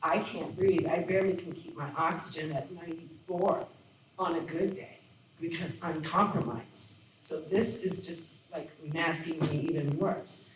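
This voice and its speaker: Noticeable background noise and audible room echo surround the recording. A woman speaks fairly slowly at a fairly low pitch, with fairly even intonation. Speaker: parent speaking at public comment. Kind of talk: public comment at a board meeting. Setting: school board meeting. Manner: agitated.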